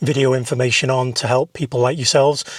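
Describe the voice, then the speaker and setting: This man's medium-pitched voice is somewhat breathy, recorded with a dry, close sound and no echo. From northern England, Whiston near Liverpool. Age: middle-aged. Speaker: film director and content creator. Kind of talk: casual vlog monologue. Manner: animated.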